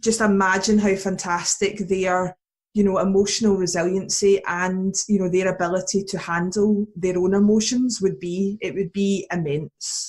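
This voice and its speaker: With monotone, flat intonation, a woman speaks at a medium pitch and a moderate pace in a somewhat breathy voice. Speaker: youth resilience educator. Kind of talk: podcast interview.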